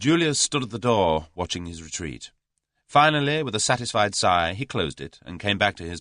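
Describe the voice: Plain read-aloud speech against a quiet backdrop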